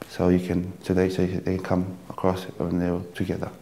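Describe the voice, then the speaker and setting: This man speaks with a Tongan accent. His pitch is fairly low. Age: 20s. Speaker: dancer and dance teacher. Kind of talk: dance tutorial; interview. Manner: halting. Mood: calm, explanatory.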